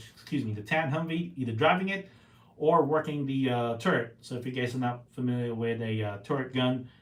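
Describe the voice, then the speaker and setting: His pitch varies in an ordinary way. The man's voice sits at a medium pitch. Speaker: podcast host, Marine veteran and Rotarian. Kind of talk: casual solo podcast talk. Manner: fast; halting, many fillers.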